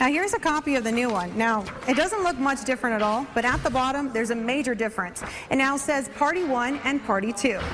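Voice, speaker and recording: Over noticeable background noise, a woman talks very fast in a high voice with ordinary pitch variation. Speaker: TV news reporter. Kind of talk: TV news field report.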